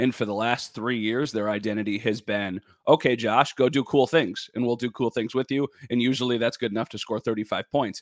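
An ordinary speaking voice moves at a fairly quick pace with fairly even intonation. The recording is very clean, dry and close with no echo, over a silent background. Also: man, medium pitch for a man. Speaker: sports broadcaster and podcast host. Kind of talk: casual sports podcast interview.

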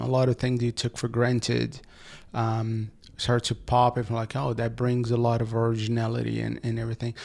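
A man with a Portuguese accent, medium pitch and monotone, flat intonation at a fairly quick pace, on a very clean recording with a silent background. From Brazil. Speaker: advertising agency founder and author. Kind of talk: interview. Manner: halting, many repetitions.

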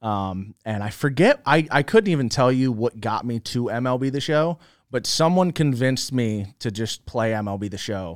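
A man's unremarkable speaking voice at medium pitch, moderate pace and lively intonation, with hardly any pauses, dry and close with no echo, on a very clean recording with a silent background. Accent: American. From Philadelphia, US Northeast. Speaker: gaming content creator. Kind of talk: casual interview.

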